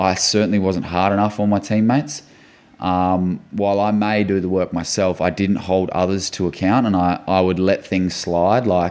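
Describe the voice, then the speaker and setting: An Australian-accented man speaks with a very deep, low pitch. His intonation is fairly even and his loudness very even. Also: moderate pace. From Western Australia (Port Hedland). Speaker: football club captain. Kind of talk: podcast interview.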